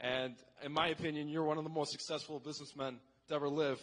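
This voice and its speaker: A man's normal speaking voice with an American accent, fairly high in pitch and fairly even in intonation. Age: 18. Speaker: audience member asking a question. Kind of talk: question at town hall. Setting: convention center with audience.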